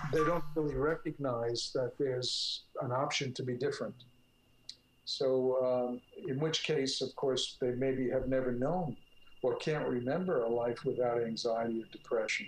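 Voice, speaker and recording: Somewhat breathy and at a very even loudness, a man with an American accent talks at a moderate pace. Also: medium pitch for a man, ordinary pitch variation. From North Jersey. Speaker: clinical psychologist. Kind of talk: interview. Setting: call.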